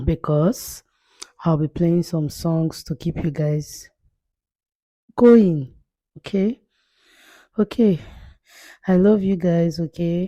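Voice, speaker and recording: Woman with a fairly low pitch and a dark, mellow tone, very slow pace and long, frequent pauses, in a dry, close sound with no echo. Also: ordinary pitch variation. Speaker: makeup artist. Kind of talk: voiceover narration. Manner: breathy, strained.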